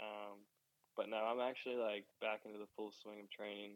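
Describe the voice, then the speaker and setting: Speaking at a moderate pace in an American accent, the voice stays monotone and flat. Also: man. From Maryland, US. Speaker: professional motocross rider. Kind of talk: interview. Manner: casual, filler-heavy.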